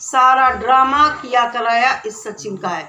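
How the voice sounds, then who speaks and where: Over noticeable background noise and audible room echo, a woman talks in a raised, projected voice at a high pitch. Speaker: YouTube commentary vlogger. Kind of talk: opinion commentary vlog.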